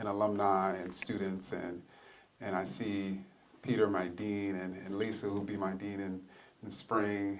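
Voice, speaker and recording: With audible room echo around him, a man speaks fairly slowly at a fairly low pitch, keeping his intonation fairly even. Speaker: history professor. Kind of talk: public lecture. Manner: soft-spoken.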